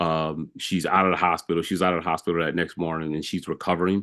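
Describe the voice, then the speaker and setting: Against a quiet background, a man with a very deep, low pitch rattles along at a very fast pace in a flat monotone. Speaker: police chief. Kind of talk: board meeting report. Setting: video call. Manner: halting, many fillers.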